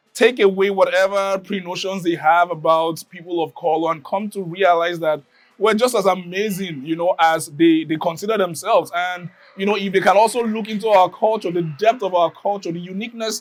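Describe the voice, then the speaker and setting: With a Nigerian accent, the speaker talks at a fairly quick pace with fairly even intonation. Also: man, high pitch for a man. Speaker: community member. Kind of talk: interview testimony. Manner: halting, many fillers and repeats.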